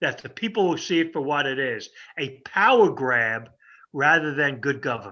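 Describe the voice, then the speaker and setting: With an American accent, a man speaks at a moderate pace in a fairly high, bright, sharp tone with lively intonation, against a quiet background. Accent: New York, slight, comes out occasionally. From New York. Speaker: political pundit. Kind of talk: political talk with Q&A.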